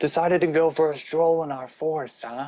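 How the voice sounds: Using a booming, put-on character voice, a man speaks fairly quickly at a fairly high pitch with fairly even intonation.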